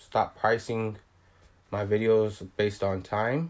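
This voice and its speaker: There is a man here with a fairly low pitch. The recording is very clean, its background silent. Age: 20s. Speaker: videographer. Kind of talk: casual chat.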